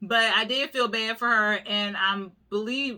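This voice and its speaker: A woman speaks with a bright, sharp tone and fairly even intonation. The recording is very clean, with a silent background. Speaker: YouTuber reviewing reality TV. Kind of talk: casual recap monologue.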